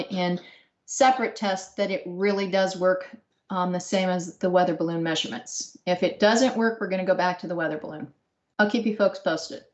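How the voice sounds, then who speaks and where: A woman with an unremarkable speaking voice talks at a moderate pace, her pitch medium and her pitch variation ordinary. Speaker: research engineer presenting. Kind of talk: technical Q&A.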